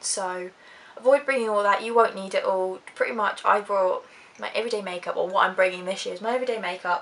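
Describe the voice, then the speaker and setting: A woman's medium-pitched voice in an Essex accent, very fast and fairly even in intonation. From Essex, UK. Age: young. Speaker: YouTuber, psychology student. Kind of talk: casual talk to camera.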